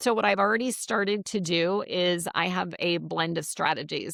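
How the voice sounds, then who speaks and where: A woman with a fairly low pitch and an ordinary speaking voice talks at a fairly slow pace with ordinary pitch variation, in a very clean recording with a silent background and a dry, close sound with no echo. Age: 60s. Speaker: business coach and networking expert. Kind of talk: podcast interview. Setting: live video interview.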